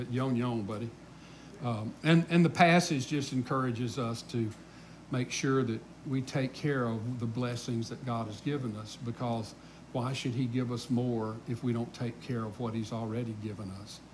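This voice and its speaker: With a Southern US accent, a man speaks at a medium pitch with fairly even intonation, somewhat breathy. Noticeable background noise runs underneath. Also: moderate pace. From US South. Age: 60s. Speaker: pastor. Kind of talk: Bible study teaching. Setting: church. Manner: casual. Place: church.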